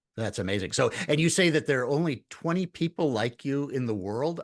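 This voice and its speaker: Lively intonation and a fairly quick pace mark this man's plain, everyday voice. The background is quiet. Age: 60s. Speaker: podcast host and coach. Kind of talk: interview.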